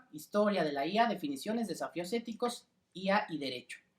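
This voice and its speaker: A man speaks with lively intonation. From Mexico City. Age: 20s. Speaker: lawyer and lecturer. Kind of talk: lecture. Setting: video call. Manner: hesitant, frequent fillers.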